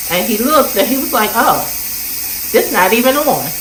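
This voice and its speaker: A woman speaks with ordinary pitch variation. There is audible room echo along with noticeable background noise. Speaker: lifestyle vlogger. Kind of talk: casual vlog narration.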